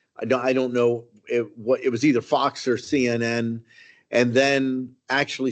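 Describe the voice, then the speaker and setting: Speaking fairly slowly, a man keeps a medium pitch and a monotone, flat intonation. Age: 60s. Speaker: county commissioner. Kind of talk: public meeting remarks. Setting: public meeting room, broadcast live. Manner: halting, many fillers.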